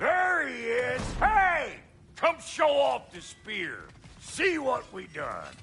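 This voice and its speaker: Using a put-on character voice, a man pitches his speech extremely high. His delivery is very slow. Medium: machinima. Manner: loud, blunt.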